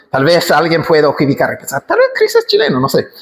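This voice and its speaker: Here a man is talking. He has an English accent. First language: English (speaking Spanish). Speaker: pastor. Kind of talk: sermon.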